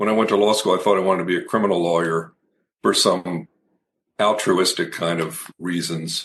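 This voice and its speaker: Speaking with a fairly low pitch, a man shows ordinary pitch variation. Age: 60s. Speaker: executive leadership coach, former law firm chair. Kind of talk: interview conversation. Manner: halting, self-correcting.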